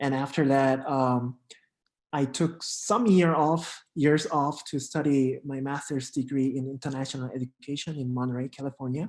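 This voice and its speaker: In a Korean accent, a man talks at a moderate pace with a fairly high pitch and fairly even intonation. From South Korea. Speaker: international exchange program coordinator. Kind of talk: casual interview. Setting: live stream.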